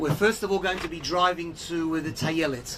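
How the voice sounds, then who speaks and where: Someone with an Australian accent speaks against noticeable background noise. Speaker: tour guide and organization spokesperson. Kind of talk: guided tour talk. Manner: hesitant with many fillers.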